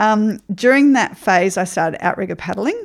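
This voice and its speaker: This woman speaks with an Australian accent. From Queensland, Australia (Ipswich). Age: 50s. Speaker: remedial therapist and life coach. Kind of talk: interview.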